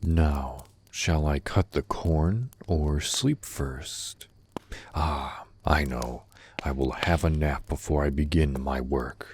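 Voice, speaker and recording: Using a put-on character voice, a man speaks at a very slow pace with a very deep, low pitch. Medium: read story.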